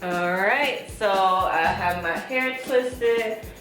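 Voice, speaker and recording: A woman of medium pitch speaks with music in the background. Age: 20s. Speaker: beauty vlogger. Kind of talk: casual talk to camera.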